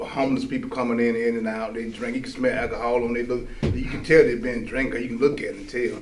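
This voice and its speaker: Very fast male speech with ordinary pitch variation, music in the background and audible room echo. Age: 60s. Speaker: formerly incarcerated man. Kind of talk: testimony in a casual discussion. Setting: live-streamed studio discussion. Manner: halting, many repetitions.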